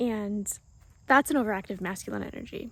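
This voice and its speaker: A woman speaks softly. Her voice is somewhat breathy. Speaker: spiritual vlogger. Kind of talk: casual monologue. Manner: soft-spoken.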